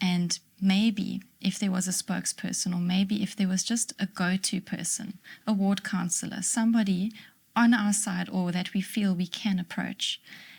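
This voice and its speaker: A woman speaks at a moderate pace with monotone, flat intonation. Her voice is somewhat breathy. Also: medium pitch for a woman. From South Africa. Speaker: librarian. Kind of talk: interview answer.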